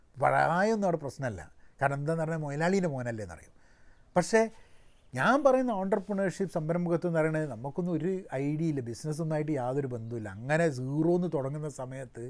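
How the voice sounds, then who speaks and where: This man's voice sits fairly high in pitch and moves with lively intonation. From Kerala. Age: 40s. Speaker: entrepreneur and commentator; vlogger on education. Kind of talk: solo commentary monologue; casual vlog chat. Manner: halting, with frequent restarts. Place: garden. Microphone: phone near.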